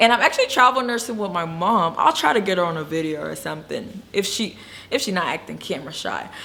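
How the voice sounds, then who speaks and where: At a very fast pace, a woman of medium pitch speaks with lively intonation, a bright, sharp tone and vocal fry. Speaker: travel nurse and video blogger. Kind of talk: casual vlog talk. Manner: stuttering at times.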